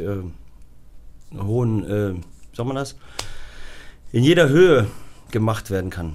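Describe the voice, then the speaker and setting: Audible room echo surrounds a man speaking at a moderate pace and a fairly low pitch. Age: 30s. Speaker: high-wire artist. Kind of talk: interview.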